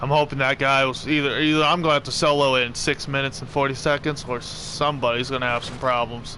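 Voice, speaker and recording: Against noticeable background noise, a fairly high-pitched man rushes along at a very fast pace in a monotone, flat intonation with hardly any pauses. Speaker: gaming streamer. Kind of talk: live gameplay commentary. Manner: self-correcting, halting.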